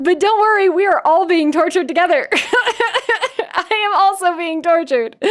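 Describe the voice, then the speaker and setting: Over noticeable background noise, a woman with an American accent talks with hardly any pauses, lively intonation, and an extremely high pitch. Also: moderate pace. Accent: slight Valley Girl, Puget Sound style. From US Pacific Northwest, Seattle. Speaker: streamer. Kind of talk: casual live stream chat.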